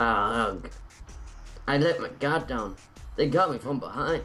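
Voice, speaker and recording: A man performs a gruff, put-on character voice at a fairly high pitch. He speaks at a moderate pace over clear background music. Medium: game stream.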